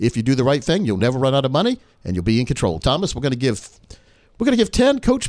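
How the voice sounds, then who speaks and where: A man with a medium pitch talks very fast with lively intonation. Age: 50s. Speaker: financial advisor and radio host. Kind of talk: radio show interview.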